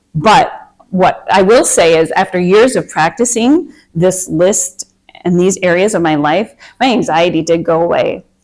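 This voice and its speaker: A woman with a Minnesotan accent speaks at a medium pitch with ordinary pitch variation. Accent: Minnesota. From Minnesota, US. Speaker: meditation and anxiety coach. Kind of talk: workshop talk to a group. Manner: casual, hesitant with fillers.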